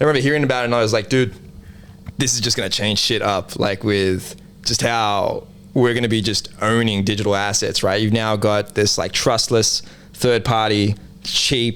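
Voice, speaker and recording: A man with an Australian accent talks at a moderate pace with fairly even intonation and very even loudness. His pitch is fairly low. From Australia, Sydney southwest (Liverpool). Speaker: NFT project co-founder. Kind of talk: casual interview chat.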